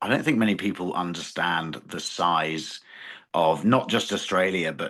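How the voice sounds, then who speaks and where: A man with a British accent, bright and sharp in tone, at a moderate pace with ordinary pitch variation. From England. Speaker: farmer. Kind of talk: interview. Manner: halting.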